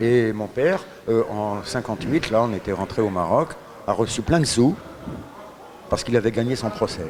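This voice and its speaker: The man's voice sits at a medium pitch. There is noticeable noise behind him. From Paris, France, then Morocco. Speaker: radio guest. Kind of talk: interview. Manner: hesitant.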